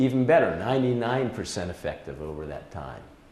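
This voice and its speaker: A man talks at a moderate pace in a medium pitch. Noticeable background noise runs under his voice. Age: 70s. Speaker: retired presenter and wildlife volunteer. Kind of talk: presentation. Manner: halting.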